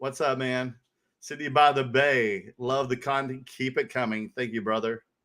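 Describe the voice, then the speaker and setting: With a bright, sharp, animated tone, a man speaks at medium pitch and a moderate pace in a very clean recording with a silent background. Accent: Southern US. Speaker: card collecting show co-host. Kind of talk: casual chat.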